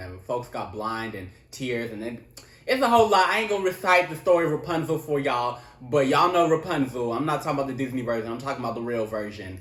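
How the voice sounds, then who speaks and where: In a room with audible echo and noticeable background noise, a man talks at a very fast pace in an animated tone, his pitch swinging very widely and his loudness rising and falling in big swings. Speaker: tarot reader. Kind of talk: tarot reading.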